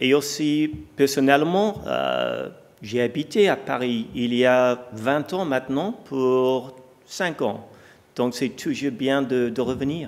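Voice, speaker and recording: This man speaks at a very slow pace, his medium pitch showing ordinary pitch variation. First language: English (speaking French). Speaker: company executive. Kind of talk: onstage interview; conference keynote.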